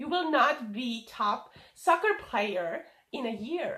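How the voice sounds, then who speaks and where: A woman speaks in a raised, projected voice with lively intonation and a high pitch. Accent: non-native. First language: not English. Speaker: online business coach. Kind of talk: vlog. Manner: careful pronunciation.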